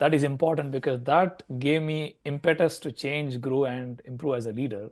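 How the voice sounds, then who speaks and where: The speaker has a non-native accent and fairly even intonation. The pace is moderate, and the background is quiet. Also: man, fairly high pitch for a man. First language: not English. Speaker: leadership coach, former tech manager. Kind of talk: interview.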